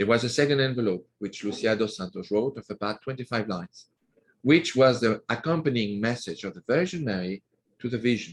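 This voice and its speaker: This man has a French accent and a medium-pitched voice. He speaks with lively intonation. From France, Normandy. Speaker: author. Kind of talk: interview.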